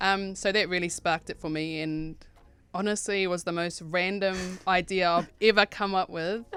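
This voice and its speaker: With a New Zealand accent, a woman speaks at a moderate pace and medium pitch in a monotone, flat intonation. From New Zealand, Rotorua. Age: 30s. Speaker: clothing brand owner. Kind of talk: radio interview.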